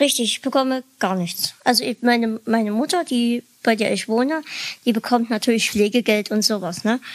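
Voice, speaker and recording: At a moderate pace, a woman talks at a fairly high pitch with ordinary pitch variation, in a dry, close sound with no echo. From Dresden, Saxony. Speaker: podcaster. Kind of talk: casual podcast interview.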